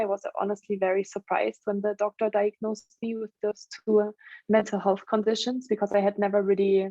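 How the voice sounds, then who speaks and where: A woman's medium-pitched voice in a German accent at a fairly quick pace. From Germany. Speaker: stress management trainer and coach. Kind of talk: interview.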